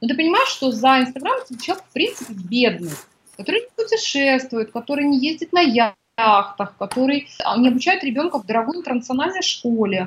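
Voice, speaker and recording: A woman's high pitch in very wide swings at a fairly quick pace. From Kazakhstan. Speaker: women's coach and author. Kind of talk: interview.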